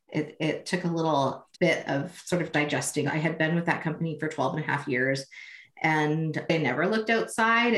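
This woman has an unremarkable speaking voice, fairly low in pitch. Her intonation is lively and her pace moderate. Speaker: social media consultant. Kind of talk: interview.

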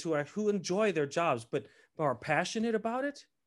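At a moderate pace against a quiet background, the speaker uses an American accent with very wide pitch swings. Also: man. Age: 50s. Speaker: opera tenor. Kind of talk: casual chat.

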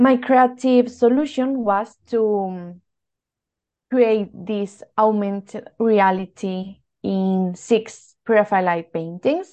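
A woman with a Spanish accent, fairly high-pitched, with a dark, mellow tone, ordinary pitch variation, a very slow pace and a quiet background. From Spain. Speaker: art historian. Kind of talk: interview.

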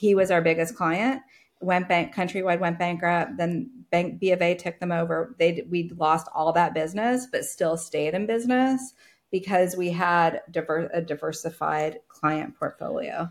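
A woman with a fairly low pitch uses an ordinary speaking voice at a moderate pace with ordinary pitch variation, on a very clean recording with a silent background. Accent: American. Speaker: agency founder and business coach. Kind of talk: casual interview chat.

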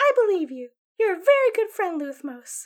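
A female-sounding, squeaky put-on character voice speaks at a moderate pace and an extremely high pitch, with very wide pitch swings. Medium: actual play. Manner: innocent, sweet.

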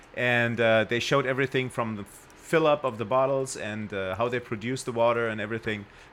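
This man speaks with a German accent and fairly even intonation. His pace is fairly quick, with hardly any pauses. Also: medium pitch for a man. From Germany. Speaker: guest. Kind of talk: casual chat. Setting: studio.

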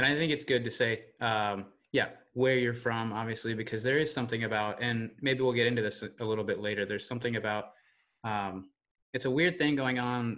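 Against a quiet background, a man speaks at a very fast pace. His medium pitch carries a General American accent. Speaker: podcast host. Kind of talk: interview conversation.

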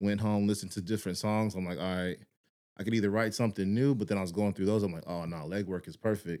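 A dark, mellow tone at a very fast pace, with fairly even intonation. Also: man, fairly low pitch for a man. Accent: American. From Texas. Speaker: musician. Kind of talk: casual chat.

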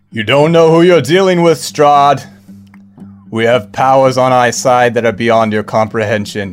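A man's booming, put-on character voice at medium pitch and moderate pace, with faint music in the background. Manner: booming, commanding.

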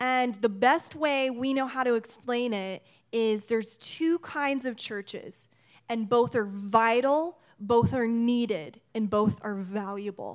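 A woman speaks at a very slow pace in a fairly high pitch with ordinary pitch variation. The recording is very clean, with a silent background. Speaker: missionary. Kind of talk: sermon. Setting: church. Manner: loud.

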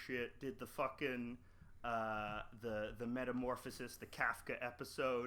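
At a fairly slow pace, a man speaks in a bright, sharp tone with monotone, flat intonation. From Canada. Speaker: podcaster and cartoonist. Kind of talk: casual chat.

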